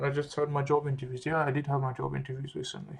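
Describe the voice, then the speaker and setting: Monotone, flat intonation marks this man's Australian accent. His voice is somewhat breathy and fairly high-pitched. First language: French. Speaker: medical student vlogger. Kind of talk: casual vlog monologue. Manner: relaxed, conversational with fillers.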